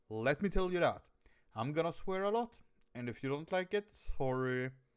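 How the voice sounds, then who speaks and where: A man with a Swedish accent, fairly high pitch, very wide pitch swings and an animated tone. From Sweden. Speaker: reaction video youtuber. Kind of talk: casual reaction commentary. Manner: animated, halting.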